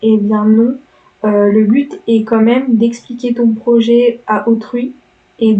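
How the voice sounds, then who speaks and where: Her fairly high-pitched voice marks this speaker as a woman. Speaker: architecture student youtuber. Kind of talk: tutorial. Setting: home recording, speaking into mic. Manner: hesitant, many filler words; lively, not monotone.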